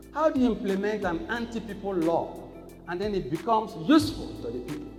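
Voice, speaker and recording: Over music in the background, a man with a Nigerian accent speaks at a moderate pace in a high voice that swings very widely in pitch. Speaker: traditional ruler. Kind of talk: keynote lecture at law conference. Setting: conference hall.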